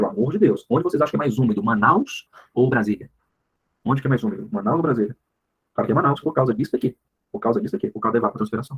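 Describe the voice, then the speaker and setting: A somewhat breathy man at a very fast pace, with very wide pitch swings and long, frequent pauses. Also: medium pitch for a man. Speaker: biology teacher. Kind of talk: online class lecture. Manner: casual, animated.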